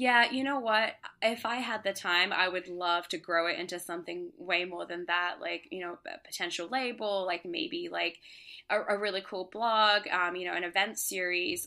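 Against a silent background on a very clean recording, the voice has a bright, sharp tone. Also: woman. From Australia and Singapore. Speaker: DJ and music producer. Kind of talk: casual interview.

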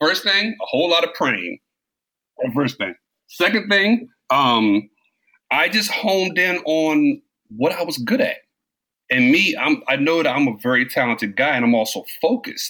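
A man with an American accent talks at a moderate pace in a high, bright, sharp voice. His pitch swings very widely, and he leaves long, frequent pauses. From US East Coast, New York and Maryland. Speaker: entrepreneur, former basketball player. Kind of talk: interview.

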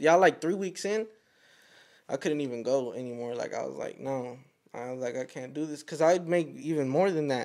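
With an American accent, a man speaks in a normal speaking voice at a fairly high pitch with ordinary pitch variation, in a very clean recording with a silent background. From Fort Worth, Texas. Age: 20s. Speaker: photographer and videographer. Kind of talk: casual podcast chat. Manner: casual slangy, says bro often.

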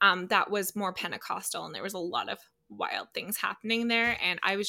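The tone is bright and sharp, the intonation monotone and flat, in a Canadian accent. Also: woman. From Calgary, Alberta, Canada. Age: 30s. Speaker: artist and designer. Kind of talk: casual interview chat. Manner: gentle, eloquent.

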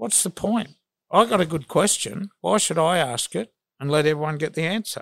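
With an Australian accent, a man speaks at a moderate pace and fairly high pitch, his intonation lively and the sound dry and close with no echo. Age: 60s. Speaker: sports journalist. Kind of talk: casual interview.

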